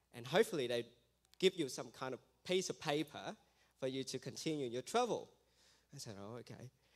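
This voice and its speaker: A man with an Australian accent, fairly quick in pace and lively in intonation. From Vietnam. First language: Vietnamese. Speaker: missionary. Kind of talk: testimony. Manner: halting.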